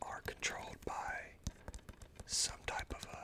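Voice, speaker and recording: Noticeable noise sits in the background. Over it, a man whispers. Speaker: ASMR streamer. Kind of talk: ASMR live stream talk. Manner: whispered.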